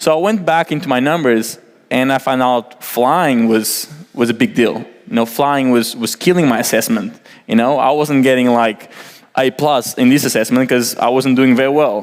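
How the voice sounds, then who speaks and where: In a Portuguese accent, the speaker goes at a moderate pace with very even loudness and ordinary pitch variation. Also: man, medium pitch for a man. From Portugal. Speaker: environmental engineer. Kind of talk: presentation. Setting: stage with audience. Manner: casual, many fillers.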